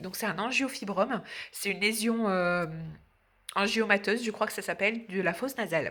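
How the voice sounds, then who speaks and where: Fairly quick speech from a woman with a bright, sharp tone. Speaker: vlogger and nail technician. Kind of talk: casual vlog chat. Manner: hesitant, many fillers.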